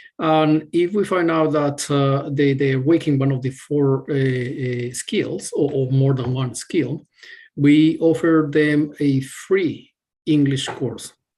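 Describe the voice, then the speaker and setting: Speaking at a very slow pace, a man with a Spanish accent uses a fairly high pitch and fairly even intonation. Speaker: university staff member answering student questions. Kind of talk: webinar Q&A. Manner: halting, many fillers and repetitions.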